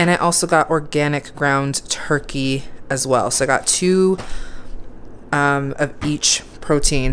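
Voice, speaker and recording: With music in the background, a woman speaks very slowly at a very deep, low pitch, her intonation fairly even. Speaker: home vlogger. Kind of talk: casual vlog chat. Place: kitchen.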